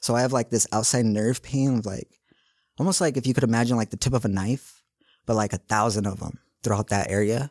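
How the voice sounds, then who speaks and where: With an American accent, a man talks at a very fast pace and medium pitch with ordinary pitch variation, in a dry, close sound with no echo on a very clean recording with a silent background. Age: 30s. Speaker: medical cannabis patient. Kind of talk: interview testimony.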